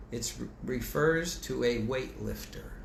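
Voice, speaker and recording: Amid noticeable background noise and audible room echo, a man speaks in an animated tone. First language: French. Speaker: bible teacher. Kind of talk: bible study lecture. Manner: conversational.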